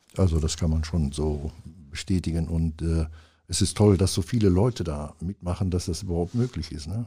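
Dark, mellow and somewhat breathy, a man's voice sits at a very deep, low pitch. He talks at a moderate pace. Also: ordinary pitch variation. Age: 70s. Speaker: music event organiser. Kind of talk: casual interview. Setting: studio.

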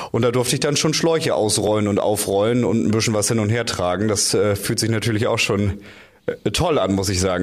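Amid noticeable background noise and audible room echo, a man talks at a fairly low pitch. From North Frisia, Schleswig-Holstein. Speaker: radio journalist and firefighter trainee. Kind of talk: interview. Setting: studio. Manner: hesitant fillers.

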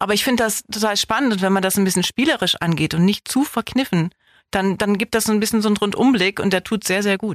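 A woman talks very fast at a medium pitch, with ordinary pitch variation and very even loudness. The recording is very clean, with a silent background and a dry, close sound with no echo. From northern Germany, Osnabrück district. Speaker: actress and film festival director. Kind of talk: casual interview.

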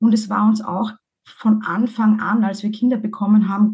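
A woman with a fairly high pitch speaks in a dark, mellow, somewhat breathy tone with fairly even intonation. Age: 40s. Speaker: divorced mother, podcaster. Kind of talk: interview.

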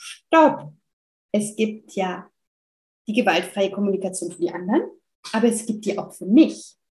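Somewhat breathy, this woman's voice sits at a fairly high pitch. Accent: French. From France. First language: French (speaking German). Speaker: family counselor and parenting coach. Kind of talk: interview conversation.

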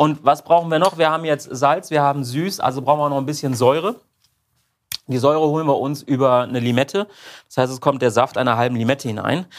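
Here a man talks at a very fast pace in a fairly high voice with ordinary pitch variation. The recording is very clean, with a silent background. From Rheinhessen, Germany. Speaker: barbecue YouTuber. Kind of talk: casual chat while cooking.

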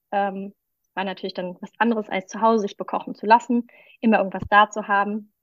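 A woman's medium-pitched voice at a fairly quick pace, flat and monotone in intonation, with big swings in loudness. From Düsseldorf, western Germany. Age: 30s. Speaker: vegan nutrition consultant. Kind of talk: podcast interview.

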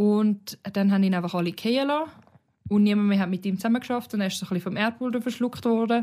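On a very clean recording with a silent background, a woman talks at a very fast pace with a medium pitch and ordinary pitch variation. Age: 20s. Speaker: podcast co-host. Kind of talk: casual chat.

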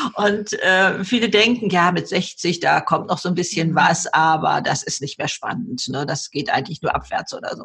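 A woman keeps a moderate pace and hardly any pauses, with noticeable background noise around her. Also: medium pitch for a woman, ordinary pitch variation. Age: 70s. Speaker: bestselling author and YouTuber. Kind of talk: interview. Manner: animated.

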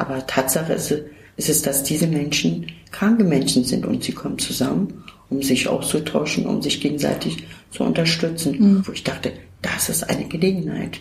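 A woman with a very deep, low pitch and lively intonation, at a moderate pace over noticeable background noise. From Turkey, moved to Germany at 13. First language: Turkish (speaking German). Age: 50s. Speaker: self-help centre worker. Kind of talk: interview.

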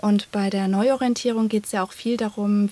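Somewhat breathy, dark and mellow female speech at a moderate pace. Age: 30s. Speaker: psychotherapy practitioner and coach. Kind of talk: interview.

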